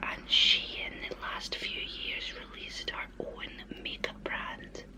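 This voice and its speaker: There is noticeable background noise. A woman whispers over it at a very slow pace. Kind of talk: ASMR show and tell of lipsticks. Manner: whispered, soft-spoken.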